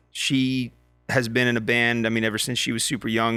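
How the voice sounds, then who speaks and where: A man with an American accent speaks at a moderate pace. Music plays in the background. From Montana, US. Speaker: country singer-songwriter. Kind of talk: casual chat.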